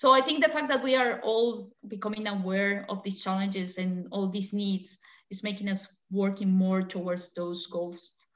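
A woman at a moderate pace with hardly any pauses, medium in pitch with ordinary pitch variation. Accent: Spanish. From Colombia. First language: Spanish. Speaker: battery research engineer. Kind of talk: interview.

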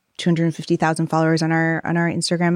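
A woman speaks with a very deep, low pitch in an American accent. Her pace is fairly quick against a quiet background. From US Northeast, southeastern Connecticut. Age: 30s. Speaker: social entrepreneur. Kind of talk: live interview.

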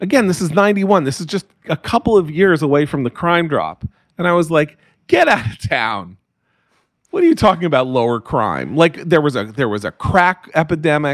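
A man with an American accent and an unremarkable speaking voice talks at a fairly high pitch and a fairly quick pace. His intonation is lively, and the sound is dry and close with no echo. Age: 60s. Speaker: writer and political commentator. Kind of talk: interview.

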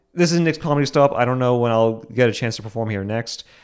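Over a quiet background, a man with an American accent speaks at a fairly quick pace. He has a plain, everyday voice with ordinary pitch variation. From Boston. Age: young. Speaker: comedian and podcast host. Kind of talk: solo podcast monologue.

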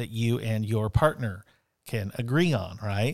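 A man with an unremarkable speaking voice talks at a moderate pace with lively intonation. The recording is very clean, with a silent background. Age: 40s. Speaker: teacher and podcast co-host. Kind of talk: casual chat. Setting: studio.

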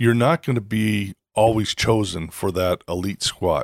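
Here is an unremarkable speaking voice from a man with fairly low pitch and lively intonation. The recording is very clean with a silent background and a dry, close sound with no echo. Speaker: podcast host. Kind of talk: casual interview. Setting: in person, Bozeman.

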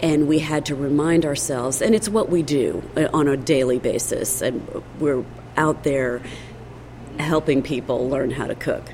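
Amid noticeable background noise, a woman with a very deep, low pitch speaks at a moderate pace with long, frequent pauses. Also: ordinary pitch variation. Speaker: cookbook author. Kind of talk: interview.

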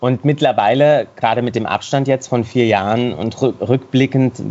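With an unremarkable speaking voice, the man delivers his words at a moderate pace. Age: 40s. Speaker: singer, dancer and actor. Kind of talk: interview. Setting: video call.

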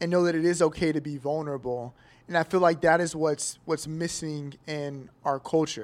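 A man with an American accent and fairly high pitch, a plain, everyday voice at a moderate pace, on a very clean recording with a silent background. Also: fairly even intonation. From Kansas City, US Midwest. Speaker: barbershop client. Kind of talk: live panel discussion. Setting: hotel venue with live audience.

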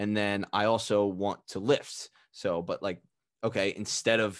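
A man's fairly low voice with an American accent, flat and monotone, against a quiet background. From US, Philadelphia suburbs. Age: 20s. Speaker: nutrition coach and podcaster. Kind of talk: casual interview chat.

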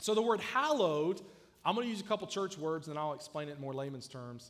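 Audible room echo follows a man speaking with a Southern US accent. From US South (South Georgia). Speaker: youth pastor. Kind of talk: sermon. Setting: church.

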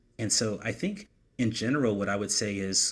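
An ordinary speaking voice at a moderate pace. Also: man. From US Southeast. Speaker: podcast co-host. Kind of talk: casual chat. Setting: home office, remote recording.

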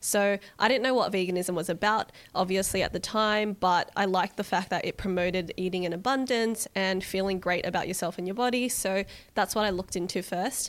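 A woman speaks fairly quickly in an Australian accent. Her medium-pitched voice keeps a fairly even intonation. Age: 20s. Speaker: vegan cook and cookbook author. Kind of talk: casual interview chat.

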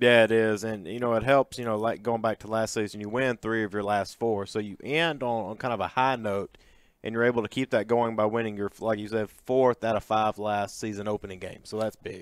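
An ordinary speaking voice at a fairly quick pace with hardly any pauses and fairly even intonation, in dry, close sound with no echo on a very clean recording with a silent background. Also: man, medium pitch for a man. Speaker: sports podcast co-host. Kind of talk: sports podcast chat.

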